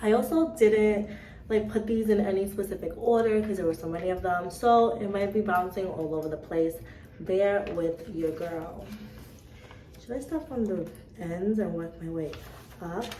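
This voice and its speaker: A woman speaks at a moderate pace with a medium pitch and lively intonation, pausing often and at length. The room echoes audibly, and background noise is noticeable. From Cape Verde. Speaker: vlogger. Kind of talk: casual vlog chat.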